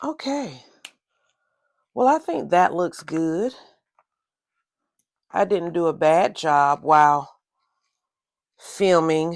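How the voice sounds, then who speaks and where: A woman's fairly low voice with a Southern accent and lively intonation, very slow, with long, frequent pauses, on a very clean recording with a silent background. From US South. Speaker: crafts and journaling video creator. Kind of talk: casual tutorial.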